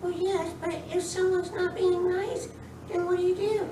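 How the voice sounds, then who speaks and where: A female-sounding cartoonish character voice speaks at an extremely high pitch and a moderate pace. There is slight echo and clear background noise. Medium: puppet.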